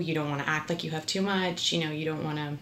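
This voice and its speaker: Amid noticeable background noise, a woman with a Canadian accent speaks at a very deep, low pitch with fairly even intonation. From Ontario, Canada (St. Catharines). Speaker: actress. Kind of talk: casual interview chat.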